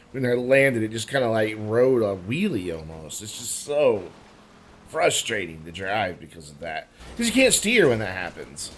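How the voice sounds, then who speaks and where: Noticeable background noise sits under lively intonation at a moderate pace. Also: man, medium pitch for a man. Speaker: gaming youtuber. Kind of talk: gameplay commentary. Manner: casual, hesitant.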